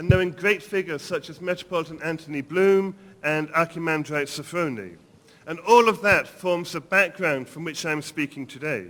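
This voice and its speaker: The voice moves at a moderate pace with ordinary pitch variation. Its loudness swings widely. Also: man, high pitch for a man. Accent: English. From England. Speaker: priest and seminary dean. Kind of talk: lecture. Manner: formal.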